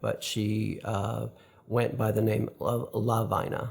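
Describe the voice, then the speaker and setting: Speaking very slowly with an American accent, a man uses a medium-pitched, somewhat breathy voice. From upstate New York. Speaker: interviewee sharing life story. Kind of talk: interview testimony. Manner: halting, frequent fillers.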